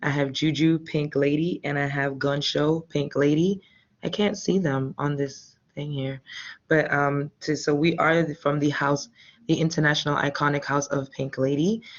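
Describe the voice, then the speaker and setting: A quiet woman's voice, very deep and low, at a moderate pace with fairly even intonation. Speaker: ballroom house mother. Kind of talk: panel discussion.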